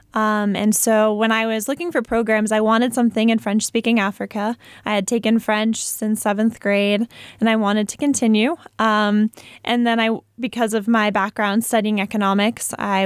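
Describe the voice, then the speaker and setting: An unremarkable speaking voice from a woman with an American accent, fairly high in pitch, fairly even in intonation and fairly quick in pace, in a very clean, dry, close recording with a silent background and no echo. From Massachusetts, Foxborough. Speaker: peace researcher and university student. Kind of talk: radio interview. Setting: studio.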